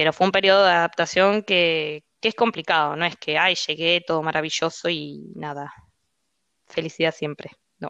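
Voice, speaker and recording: Against a quiet background, a woman with a bright, sharp tone and fairly low pitch speaks at a moderate pace with fairly even intonation, the sound dry and close with no echo. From Argentina. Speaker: finance professional living abroad. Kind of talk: casual interview chat.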